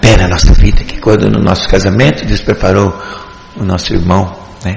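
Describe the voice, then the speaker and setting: Recorded with audible room echo and noticeable background noise, a man speaks at a fairly slow pace. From Paraná, Brazil (Faxinal). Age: 70s. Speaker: church deacon. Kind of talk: religious testimony. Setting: church service.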